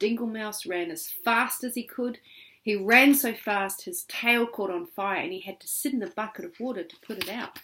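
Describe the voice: Ordinary pitch variation runs through the clip. The delivery is plain reading aloud.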